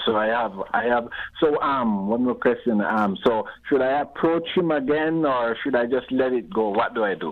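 A man is speaking at a moderate pace. Noticeable background noise can be heard. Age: 60s. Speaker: caller. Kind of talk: casual chat. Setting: phone call.

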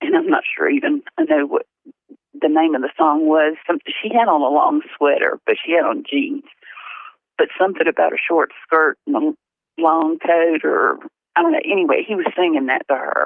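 Using very wide pitch swings and long, frequent pauses, a woman speaks with a Southern US accent. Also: medium pitch for a woman, moderate pace. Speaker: mother of deceased reporter. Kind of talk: testimony. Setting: phone call.

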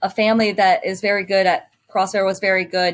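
A woman with an American accent talks at a moderate pace, her medium pitch showing ordinary variation. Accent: sounds American rather than Canadian. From Ontario, Canada (Sarnia). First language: French. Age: 30s. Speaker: CrossFit athlete. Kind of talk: interview. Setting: video call.

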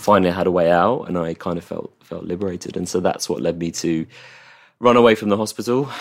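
Very fast and very deep, a man speaks with an English accent on a very clean recording with a silent background. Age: 30s. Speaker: mental health campaigner. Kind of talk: interview. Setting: host's flat.

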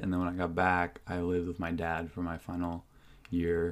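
This man's very deep, low voice moves at a fairly quick pace. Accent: American. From Whidbey Island, Washington, US. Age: 20s. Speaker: business owner. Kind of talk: casual chat. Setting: studio.

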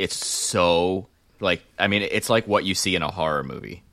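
A man speaks in a very deep, low voice with vocal fry. The recording is very clean, with a silent background. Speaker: racing podcast host. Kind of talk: casual chat. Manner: loud.

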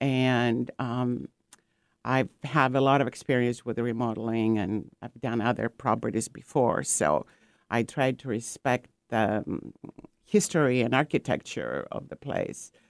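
With a Greek accent, a woman talks at a fairly slow pace in a very deep, low pitch with vocal fry and ordinary pitch variation. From Greece (Corfu family). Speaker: painter and ceramic artist, art retreat founder. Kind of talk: radio interview. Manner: hesitant with many fillers.

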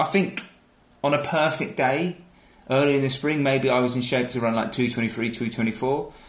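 A somewhat breathy voice speaks at a fairly slow pace, with audible room echo. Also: man. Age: 30s. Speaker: ultra runner and endurance team training manager. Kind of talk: casual interview.

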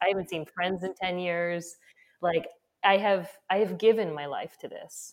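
Delivered at a moderate pace, an ordinary speaking voice keeps a fairly even intonation but swings widely in loudness. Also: woman, medium pitch for a woman. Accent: American. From United States. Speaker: skincare company founder. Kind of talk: interview conversation.

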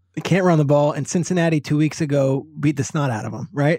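Speaking at a fairly quick pace, a man uses a dark, mellow tone at a fairly high pitch. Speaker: NFL analyst. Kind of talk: casual sports discussion.

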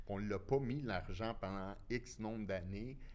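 A man talks at a fairly slow pace and a fairly low pitch with ordinary pitch variation. Room echo is audible. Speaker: former construction businessman, inquiry witness. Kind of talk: casual chat.

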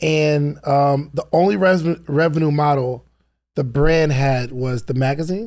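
An unremarkable speaking voice at a fairly slow pace with ordinary pitch variation. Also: man, fairly high pitch for a man. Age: 30s. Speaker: podcast host. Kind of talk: interview.

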